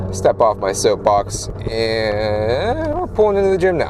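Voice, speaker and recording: A man is talking. Noticeable background noise is present. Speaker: car vlogger. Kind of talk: casual POV driving vlog. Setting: in a car. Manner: loud.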